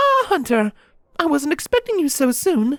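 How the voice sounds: This is a put-on character voice with big pitch swings and a fairly bright tone at a moderate pace. The sound is dry and close with no echo.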